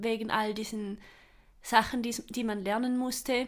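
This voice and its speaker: On a very clean recording with a silent background, a woman with a fairly high pitch talks at a fairly slow pace in a monotone, flat intonation. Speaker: role-play player. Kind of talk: casual chat.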